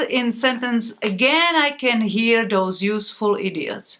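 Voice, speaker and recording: A high-pitched woman's voice with a Slovak accent and a bright, sharp tone. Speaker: author. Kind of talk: interview. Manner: halting.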